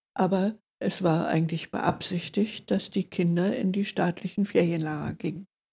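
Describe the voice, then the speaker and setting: Medium-pitched female voice, somewhat breathy, with a dark, mellow tone, fairly even intonation and a moderate pace. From Berlin. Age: 80s+. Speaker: Benedictine nun. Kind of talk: interview, life story.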